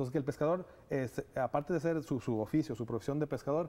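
This man speaks at a moderate pace with a fairly high pitch, ordinary pitch variation and a dark, mellow tone. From Ecuador. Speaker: nonprofit director. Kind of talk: TV interview. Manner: hesitant, many fillers. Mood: earnest, thoughtful. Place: studio. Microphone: lapel.

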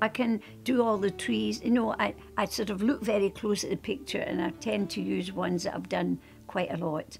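Speaking at a moderate pace in a Scottish accent, a woman is heard over faint background music. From Scotland. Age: 80s+. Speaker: painter. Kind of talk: interview answer. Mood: warm, reminiscing. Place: home room.

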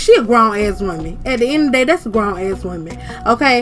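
A woman talks at a fairly quick pace. Music plays behind her. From Georgia, USA. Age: 20s. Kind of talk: casual commentary over gameplay. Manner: animated, sassy.

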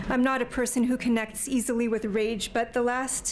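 Some light background noise is present. A woman does the talking. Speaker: speaker. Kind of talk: lecture. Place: hall. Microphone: podium.

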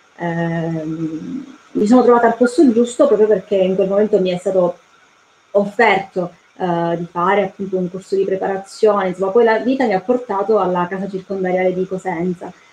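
A woman talks at a moderate pace, with ordinary pitch variation, over light background noise. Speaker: prison volunteer. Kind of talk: testimony. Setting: video call. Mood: earnest, hopeful. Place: home room. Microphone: video call.

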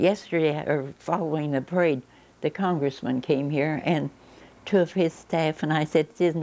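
This voice has a dark, mellow tone and a Midwestern American accent, moving at a moderate pace with ordinary pitch variation. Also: woman. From Linton, Indiana. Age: 80s+. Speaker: local elder recalling town history. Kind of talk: interview answer. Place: home room.

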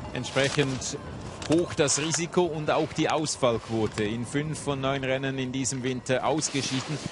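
Noticeable background noise surrounds a man speaking at a fairly slow pace, with medium pitch and fairly even intonation. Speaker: TV sports commentator. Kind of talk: live sports commentary, factual play-by-play. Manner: measured, informative, formal broadcast delivery.

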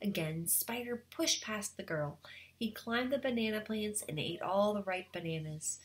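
An unforced reading voice is heard here.

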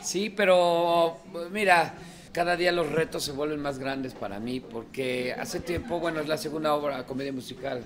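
At a moderate pace, a man talks with ordinary pitch variation against noticeable background noise. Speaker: actor in a musical comedy. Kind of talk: interview answer. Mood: relaxed, friendly. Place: hall.

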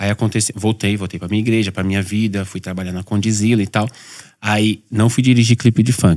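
In an ordinary speaking voice, a man talks at a fairly low pitch with fairly even intonation against a quiet background. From São Paulo periphery, Brazil; São Paulo, Brazil. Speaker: pastor. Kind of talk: casual chat. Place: studio. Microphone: studio mic.

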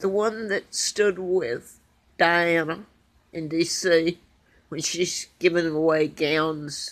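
Speaking at a very slow pace, a woman with a fairly low pitch uses ordinary pitch variation. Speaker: vlogger. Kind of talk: casual vlog chat. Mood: anxious, earnest. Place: home room. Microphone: phone near.

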